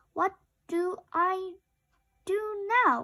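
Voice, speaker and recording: A woman does a put-on character voice. It is squeaky and extremely high-pitched. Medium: read story. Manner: curious, simple.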